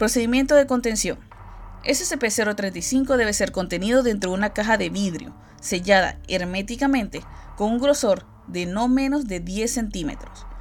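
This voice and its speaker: At a fairly slow pace, a woman talks at a fairly high pitch with ordinary pitch variation. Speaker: YouTuber narrating SCP entries. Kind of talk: reading aloud.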